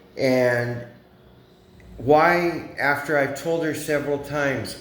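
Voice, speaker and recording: There is audible room echo as a man talks at a very slow pace. His pitch is fairly high, with ordinary pitch variation. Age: 60s. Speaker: expat vlogger. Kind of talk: vlog monologue.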